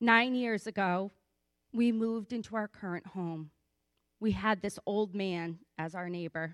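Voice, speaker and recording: A woman talks in an ordinary speaking voice at medium pitch. Her pace is fairly slow and her pitch variation ordinary. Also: very clean recording, silent background. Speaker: church member giving testimony. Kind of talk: testimony. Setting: church.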